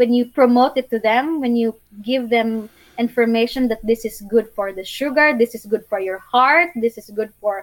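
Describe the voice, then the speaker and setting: In a Filipino accent, a woman with a fairly high pitch talks at a moderate pace with ordinary pitch variation. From Philippines, Bohol island. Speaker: YouTuber and sustainable living advocate. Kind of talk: casual interview, storytelling. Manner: warm, earnest, sometimes halting.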